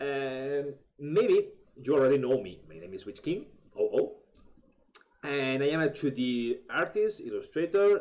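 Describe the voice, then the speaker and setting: The speaker is a man with a Spanish accent. He talks at a fairly slow pace. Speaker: artist and illustrator. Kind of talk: tutorial. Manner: halting, many fillers and restarts.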